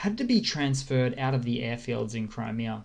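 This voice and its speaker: In an Australian accent, a man speaks at a moderate pace and a medium pitch. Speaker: war news commentator. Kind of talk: casual news update with map. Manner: casual, hesitant with fillers.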